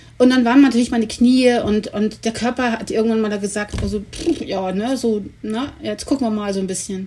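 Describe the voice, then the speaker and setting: Against noticeable background noise, a woman talks in a fairly high pitch. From Germany, Cologne. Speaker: sled dog musher and expedition guide. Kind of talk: interview.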